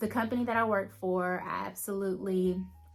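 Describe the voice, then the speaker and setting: A woman talks at a fairly slow pace with fairly even intonation, and audible room echo fills the recording. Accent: Southern US. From Alabama. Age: 30s. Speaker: lifestyle vlogger. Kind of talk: casual vlog talk to camera. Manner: conversational, with fillers.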